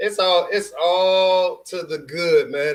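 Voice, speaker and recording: A man with a Houston accent talks with ordinary pitch variation. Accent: Houston Texas twang. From Houston, Texas. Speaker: sports streamer. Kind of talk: live stream sports commentary. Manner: casual, with many fillers.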